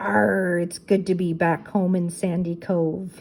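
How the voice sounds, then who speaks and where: A woman puts on a gruff, raspy character voice at a fairly low pitch. She speaks at a fairly slow pace. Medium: read story. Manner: gruff, pirate "arr" talk.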